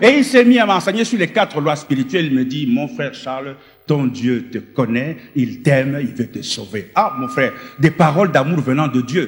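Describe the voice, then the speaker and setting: An unremarkable speaking voice from a man, fairly high in pitch, with lively intonation at a moderate pace. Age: 60s. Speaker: former occultist giving testimony. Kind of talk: testimony. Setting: stage with audience.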